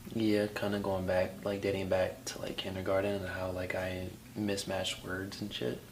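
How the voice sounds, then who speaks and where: This man talks at a moderate pace in a fairly low pitch, his intonation monotone and flat. Audible room echo and noticeable background noise surround him. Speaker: podcast co-host. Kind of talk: casual chat. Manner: stutters at times.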